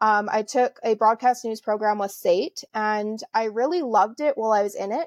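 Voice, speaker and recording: With a Canadian accent, a woman uses a normal speaking voice, fairly high and fairly quick with ordinary pitch variation, sounding dry and close with no echo over a quiet background. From Alberta, Canada. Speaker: entrepreneur. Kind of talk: casual interview.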